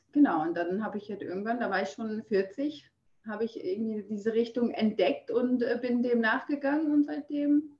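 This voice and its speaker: At a moderate pace, a woman talks in an ordinary speaking voice. Her fairly high pitch carries lively intonation. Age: 40s. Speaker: fitness trainer and Instagram creator. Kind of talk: casual interview. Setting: video call.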